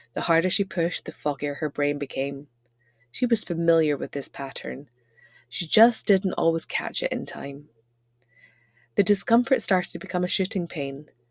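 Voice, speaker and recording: A woman's fairly low voice, dry and close with no echo, at a moderate pace with long, frequent pauses. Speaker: channel host and storyteller. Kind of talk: workplace humour short story narration. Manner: wry, deadpan humour.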